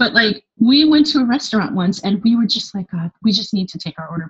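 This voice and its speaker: Heard with a dry, close sound with no echo, a woman speaks in a somewhat breathy way with a Californian accent. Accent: Californian American. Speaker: expat blogger living in Paris. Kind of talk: casual interview chat.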